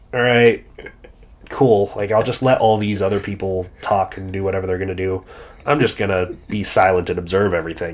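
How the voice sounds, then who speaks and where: A man's plain, everyday voice with an American accent, fairly low in pitch, fairly quick, with fairly even intonation. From New York. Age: 20s. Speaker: bodybuilder and coach, podcast co-host. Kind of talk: casual chat.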